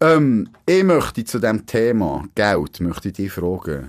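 A man with very wide pitch swings on a very clean recording with a silent background. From Switzerland, Grenchen (canton Solothurn). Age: 30s. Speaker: podcast host, former newspaper journalist. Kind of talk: casual chat. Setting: radio studio.

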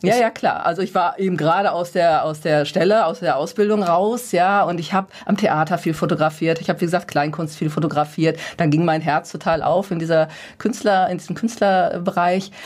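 Fairly even intonation and a fairly quick pace shape an ordinary speaking voice. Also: woman, fairly low pitch for a woman. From Ruhr area, Gelsenkirchen. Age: 50s. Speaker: personal development coach. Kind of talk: radio interview.

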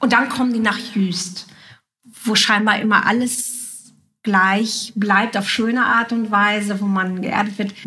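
Amid noticeable background noise and audible room echo, a woman with a fairly high pitch speaks fairly slowly and with fairly even intonation. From Juist, northern Germany. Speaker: writer and podcast host. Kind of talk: casual interview. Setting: at a coffee table in a home.

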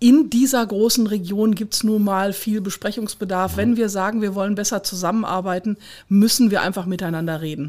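A woman with an unremarkable speaking voice talks at a fairly quick pace with a medium pitch and ordinary pitch variation. The recording is very clean with a silent background. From Ruhr area, Kreis Unna. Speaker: regional director of a municipal association. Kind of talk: interview.

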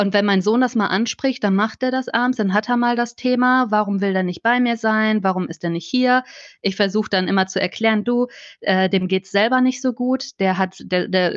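A woman's plain, everyday voice, fairly high in pitch, at a moderate pace with fairly even intonation against a quiet background. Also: dry, close sound with no echo. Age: 30s. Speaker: children's book author and journalist. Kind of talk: casual interview.

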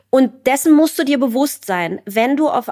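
Speaking at a very slow pace, a woman has a high voice, and the sound is dry and close with no echo. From East Germany. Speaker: writer and journalist. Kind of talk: interview.

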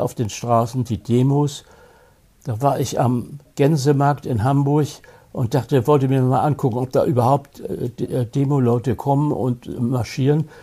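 A dark, mellow voice with a somewhat breathy edge. The intonation stays fairly even at a fairly slow pace. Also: man. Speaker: film critic, actor and retired prosecutor. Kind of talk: interview reminiscing about his career. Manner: halting, with many repetitions and restarts.

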